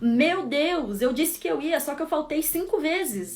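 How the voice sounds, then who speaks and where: Her high voice swings very widely in pitch as the woman speaks. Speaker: psychologist. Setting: live stream.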